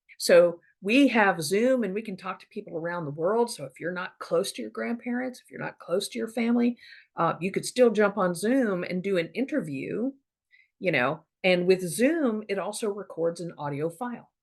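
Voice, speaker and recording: A woman with an ordinary speaking voice, medium pitch, lively intonation, big swings in loudness and a moderate pace. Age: 50s. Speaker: podcaster on family history. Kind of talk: casual monologue. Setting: Zoom recording. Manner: conversational, many fillers.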